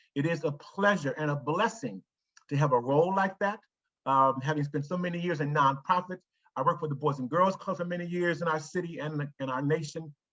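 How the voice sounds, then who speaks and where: A man talks at a fairly quick pace with a fairly high pitch, a bright, sharp tone and ordinary pitch variation. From Ohio, US (Cleveland). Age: 60s. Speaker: foundation executive. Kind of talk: presentation to staff.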